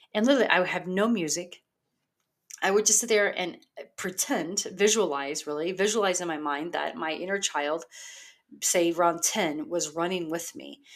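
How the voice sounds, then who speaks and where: Speaking at a moderate pace, a woman has a plain, everyday voice with a fairly low pitch and ordinary pitch variation. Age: 40s. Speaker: life coach podcast host. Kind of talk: motivational solo monologue. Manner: casual, filler-heavy.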